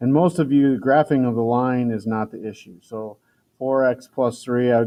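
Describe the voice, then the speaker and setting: A man talks at a moderate pace in a normal speaking voice. His medium pitch follows fairly even intonation. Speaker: math teacher. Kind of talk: tutorial.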